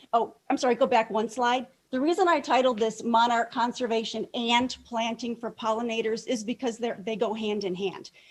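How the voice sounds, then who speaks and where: An American accent at a moderate pace, with hardly any pauses and ordinary pitch variation. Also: woman, fairly high pitch for a woman. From metropolitan Detroit. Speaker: master gardener. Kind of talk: presentation talk. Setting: club meeting, in person and on video call.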